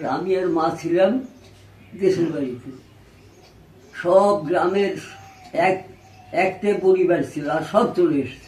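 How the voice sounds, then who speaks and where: Over noticeable background noise, a man talks in a high pitch with ordinary pitch variation. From East Bengal (now Bangladesh). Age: 80s+. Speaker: Partition refugee. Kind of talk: personal reminiscence, interview answer.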